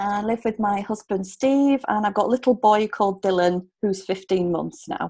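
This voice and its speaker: A woman with a Yorkshire accent talks at a moderate pace with hardly any pauses, in a medium pitch and a dark, mellow tone. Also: ordinary pitch variation. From Yorkshire, Hull. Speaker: relocation coach. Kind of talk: casual interview chat.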